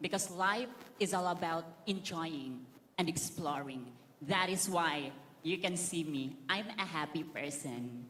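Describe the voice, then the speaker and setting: A woman's animated voice with a Filipino accent, fairly low in pitch with ordinary variation, fairly slow, and with audible room echo. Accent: Filipino island. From Philippines, Camiguin Island. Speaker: beauty pageant contestant. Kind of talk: pageant interview. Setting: stage in stadium with audience.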